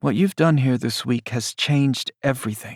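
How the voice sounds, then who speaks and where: In a put-on character voice, a man uses a gentle tone at a medium pitch and a moderate pace, the sound dry and close with no echo. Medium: read story. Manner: gentle, wry.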